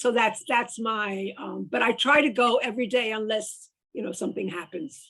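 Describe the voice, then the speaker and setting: With vocal fry and a bright, sharp tone, the speaker talks at a moderate pace with ordinary pitch variation. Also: woman, fairly high pitch for a woman. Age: 80s+. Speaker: mystery novelist. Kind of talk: casual chat. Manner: halting.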